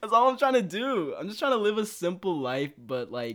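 A man talks in an American accent with an animated tone. His intonation is lively. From Texas. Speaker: guest rapper and music producer. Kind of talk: casual chat. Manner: animated, joking.

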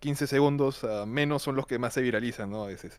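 The recording is very clean with a silent background, and the man's pitch varies in an ordinary way. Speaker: film student. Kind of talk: casual chat. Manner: shy, hesitant.

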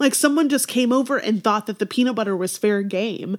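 Lively intonation and an animated tone mark this woman's speech. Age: 30s. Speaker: wedding and boudoir photographer. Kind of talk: casual chat.

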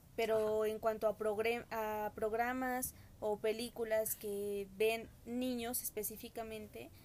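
Her pitch fairly high and her intonation flat and monotone, a woman speaks at a very slow pace. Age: 20s. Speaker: podcast guest. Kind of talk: casual chat.

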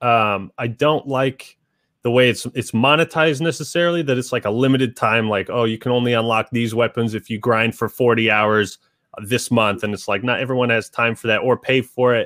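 A man's medium-pitched, plain, everyday voice with an American accent, fairly even intonation and a fairly quick pace, in a dry, close sound with no echo. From Washington State, Seattle area. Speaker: YouTube game reviewer. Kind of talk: casual interview chat. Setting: video call via webcam.

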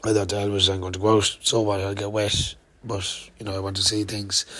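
There is noticeable background noise behind a man with an Irish accent. His fairly low voice stays monotone and flat. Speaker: podcaster, cycle traveller. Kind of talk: casual vlog monologue. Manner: hesitant, many fillers.

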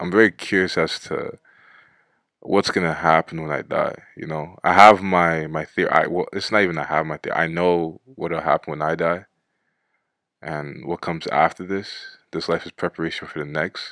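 A man speaks with a very deep, low pitch and a bright, sharp tone in monotone, flat intonation. The sound is dry and close with no echo, a very clean recording with a silent background. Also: moderate pace. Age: 20s. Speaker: solo podcaster. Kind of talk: casual monologue. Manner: rambling, halting.

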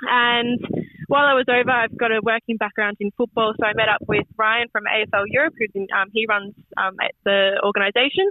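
A woman's fairly high voice with an Australian accent, fairly quick, with fairly even intonation and very even loudness. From Australia, Melbourne, Yarra Ranges of Victoria. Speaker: football coach. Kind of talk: radio interview. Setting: phone call. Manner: halting.

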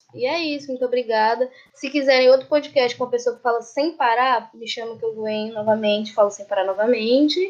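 Lively intonation runs through a woman's high-pitched speech. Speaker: geology student. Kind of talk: casual chat. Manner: talkative, talks a lot.

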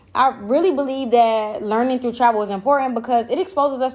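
A woman talks at a fairly quick pace in a high pitch, animated in tone with ordinary pitch variation. The recording is very clean, with a silent background. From US Miami. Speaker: podcaster, expat in Bali. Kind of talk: solo podcast monologue. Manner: casual, profane, animated.

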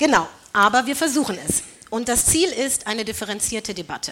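A woman with a bright, sharp tone talks at a moderate pace. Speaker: panel moderator, radio editor. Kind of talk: moderating a panel debate. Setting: stage with audience.

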